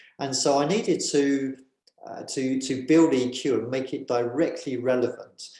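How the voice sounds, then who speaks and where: Here a man talks at a moderate pace. His speech carries a British accent. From England, just north of London. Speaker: author and governance consultant. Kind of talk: interview. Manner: hesitant, many fillers.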